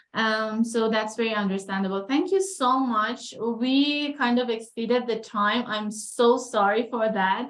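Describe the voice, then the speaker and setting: A woman's fairly high voice at a fairly slow pace, with hardly any pauses and ordinary pitch variation. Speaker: PhD researcher. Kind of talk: research interview.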